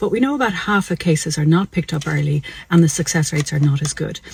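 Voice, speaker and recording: Someone speaks in an Irish accent at a very fast pace with ordinary pitch variation. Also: woman. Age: 60s. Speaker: doctor. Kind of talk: health explainer video. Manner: conversational.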